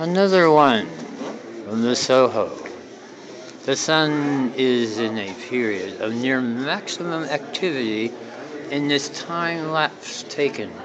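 Over noticeable background noise, a man speaks at a very slow pace, leaving long, frequent pauses. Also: ordinary pitch variation. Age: 50s. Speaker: amateur videographer touring an observatory. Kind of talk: casual narration reading exhibit text. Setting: indoors at an observatory exhibit. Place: hall. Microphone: cell phone camera microphone; phone near.

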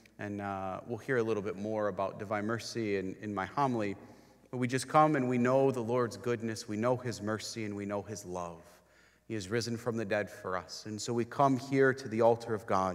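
Fairly even intonation comes from a man speaking against a quiet background. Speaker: priest leading Mass. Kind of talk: liturgical greeting and introduction. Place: church.

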